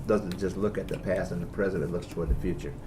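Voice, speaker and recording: The voice has a dark, mellow tone and is somewhat breathy. Audible room echo surrounds it. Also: man. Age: 60s. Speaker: bishop. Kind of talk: interview.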